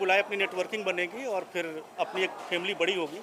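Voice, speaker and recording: Against noticeable background noise, a man with a Bihari accent speaks at a moderate pace. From UP/Bihar, India. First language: Bhojpuri (speaking Hindi). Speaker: software engineer and founder of a Bhojpuri content group. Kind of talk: event interview. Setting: party event in Mumbai. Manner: hesitant, frequent fillers.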